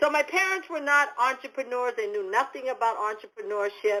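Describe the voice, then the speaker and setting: A woman with a New England accent speaks at a moderate pace in a high voice. Her tone is bright and sharp, with lively intonation. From New England, US. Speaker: motivational speaker and business coach. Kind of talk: podcast interview. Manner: halting, many fillers and repeats.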